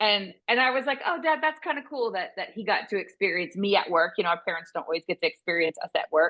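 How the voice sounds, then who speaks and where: Talking very fast with hardly any pauses, a woman at a medium pitch makes very wide pitch swings. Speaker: veterinary business consultant. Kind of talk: interview conversation. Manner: intense.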